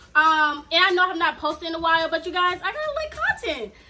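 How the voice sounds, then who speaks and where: A woman speaks at a moderate pace in a raised, projected voice with an extremely high pitch. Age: 20s. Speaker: mom vlogger. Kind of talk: casual vlog Q&A. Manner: casual, hesitant with fillers.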